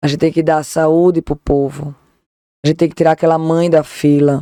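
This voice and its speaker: Flat and monotone, a dark, mellow voice moves at a fairly quick pace with a dry, close sound and no echo. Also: woman. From Northeast Brazil, Recife, Pernambuco. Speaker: lawyer, political law specialist. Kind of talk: podcast interview. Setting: studio.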